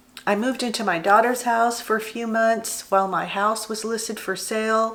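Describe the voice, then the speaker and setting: At a moderate pace, a woman talks at a fairly high pitch in an ordinary speaking voice. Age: 60s. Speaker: retiree, former business owner. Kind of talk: casual talk to camera.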